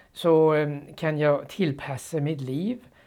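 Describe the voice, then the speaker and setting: In a Danish accent, a man with a fairly high pitch and a dark, mellow tone is captured in a very clean recording with a silent background. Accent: Danish accent in Swedish. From Denmark. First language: Danish (speaking Swedish). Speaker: former Bible translator. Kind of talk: interview testimony. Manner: halting.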